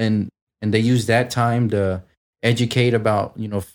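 A man talks at a moderate pace with a medium pitch and fairly even intonation, in an ordinary speaking voice. The recording is very clean, with a silent background. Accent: American. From south side of a US city. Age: 20s. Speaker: young parent. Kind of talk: casual chat.

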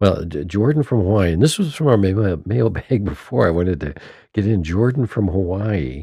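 Dark and mellow in tone, a man's voice sits at a fairly low pitch and is somewhat breathy. His intonation is lively, at a moderate pace. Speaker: podcast host and band musician. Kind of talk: casual chat. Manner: animated.

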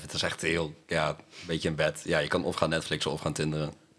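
A man with a very deep, low pitch and a bright, sharp tone speaks at a fairly quick pace. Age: 23. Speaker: sociology student, podcast co-host. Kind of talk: casual chat.

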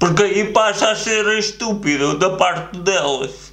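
Audible room echo mixes with noticeable background noise in this clip. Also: man. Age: 20s. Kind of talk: casual chat.

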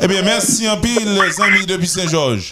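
Pitched high for a man, his voice is raised and projected. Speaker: radio host. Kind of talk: morning radio show.

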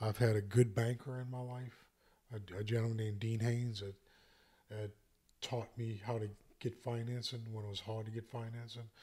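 Speaking at a moderate pace, a man with an American accent has a somewhat breathy, medium-pitched voice and monotone, flat intonation. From US South, St. Bernard Parish, Louisiana. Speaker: entrepreneur, commercial real estate salesman. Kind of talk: casual podcast conversation.

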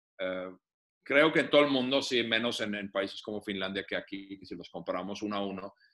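This man's fairly low voice has a bright, sharp tone, ordinary pitch variation and big swings in loudness. He talks at a fairly quick pace. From Finland. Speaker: business developer and author. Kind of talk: casual interview.

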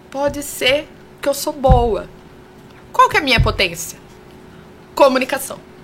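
With long, frequent pauses, a woman speaks at a fairly slow pace and high pitch against noticeable background noise. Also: ordinary pitch variation. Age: 40s. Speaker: communicator and confidence mentor. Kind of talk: casual interview chat. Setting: radio studio.

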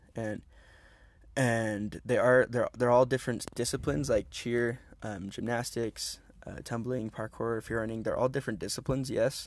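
A man with a plain, everyday voice, medium-pitched, at a moderate pace, with fairly even intonation, on a very clean recording with a silent background. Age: 20s. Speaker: podcast co-host, parkour athlete. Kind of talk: casual chat. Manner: casual, laughing.

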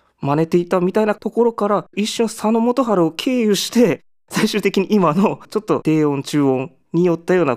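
Lively intonation marks this man's fairly quick speech, recorded very cleanly with a silent background and a dry, close sound with no echo. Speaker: musician. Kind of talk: radio-style music show talk. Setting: studio. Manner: hesitant with many fillers.

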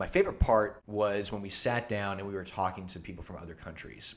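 Using an ordinary speaking voice, a man talks at a fairly quick pace with fairly low pitch and ordinary pitch variation. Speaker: medical student and travel videographer. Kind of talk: casual chat.

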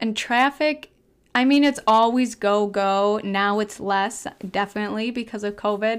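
This very clean recording has a silent background. A woman with a Wisconsin accent talks in an animated tone at a fairly high pitch. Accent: Upper Midwest (Wisconsin). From Wisconsin, small town. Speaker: podcast host. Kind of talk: casual monologue. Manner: animated, laughs often.

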